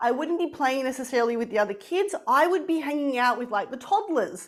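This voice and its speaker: A woman's high-pitched voice with an Australian accent, lively intonation and a passionate tone. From Australia, moved from Poland and Italy at six. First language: Polish. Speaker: spiritual coach and founder. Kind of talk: interview.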